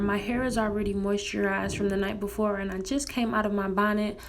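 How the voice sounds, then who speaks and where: Amid noticeable background noise, a woman speaks at a fairly quick pace with a medium pitch and fairly even intonation. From St. Louis. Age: 20s. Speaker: college student. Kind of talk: hair tutorial talk to camera. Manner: casual, chatty.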